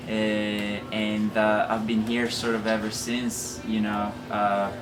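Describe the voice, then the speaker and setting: A man's fairly low voice in an Italian accent, very slow and monotone, with flat intonation, audible room echo and music in the background. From northern Italy, Lake Garda. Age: 30s. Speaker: marketing manager at a bike shop, ex pro triathlete. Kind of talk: casual interview. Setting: bike shop garage. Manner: hesitant, many fillers.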